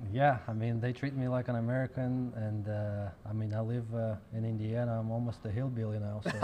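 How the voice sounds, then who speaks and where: In a Russian accent, a man talks fairly quickly at a medium pitch with monotone, flat intonation, against noticeable background noise. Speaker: professional pool player. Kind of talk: interview.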